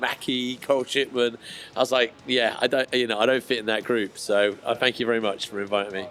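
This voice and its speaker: A man with a Bristol accent speaks at a fairly quick pace. Noticeable background noise runs behind him. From Bristol, England. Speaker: skateboard distributor. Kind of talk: podcast interview answer. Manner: casual, chatty.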